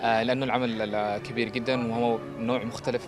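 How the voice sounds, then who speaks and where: Background music behind a man's voice of medium pitch. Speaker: theatre production team member. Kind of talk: interview answer.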